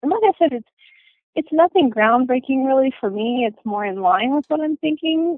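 With lively intonation and at a moderate pace, a woman talks in an ordinary speaking voice. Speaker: book reviewer and listener. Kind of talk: book review chat.

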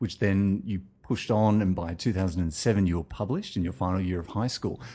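Against a quiet background, a man speaks with a dark, mellow tone at a fairly low pitch. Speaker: podcast host interviewer. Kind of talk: interview.

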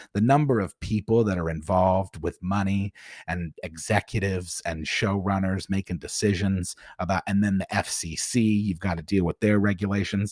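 On a very clean recording with a silent background, a man with a fairly low pitch speaks in fairly even intonation, the sound dry and close with no echo. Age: 30s. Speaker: rapper and YouTube video maker. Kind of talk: casual interview chat. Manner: fast talker.

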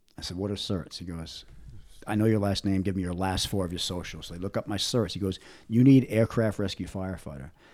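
A man's very fast delivery, fairly low in pitch with ordinary pitch variation, on a very clean recording with a silent background. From Rhode Island, Providence. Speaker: retired firefighter. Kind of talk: casual interview storytelling. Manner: halting, repetitive restarts.

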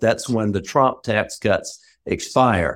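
Captured on a very clean recording with a silent background, the speaker uses a Southern US accent with ordinary pitch variation. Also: man. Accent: Southern US (Georgia). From rural Georgia, US South. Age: middle-aged. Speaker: former congressman, lobbyist. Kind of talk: panel discussion. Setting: call.

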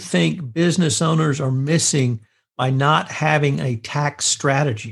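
A man speaks somewhat breathily at a fairly slow pace with lively intonation, the background quiet. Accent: American. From central Texas. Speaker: podcast interviewer. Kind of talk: interview.

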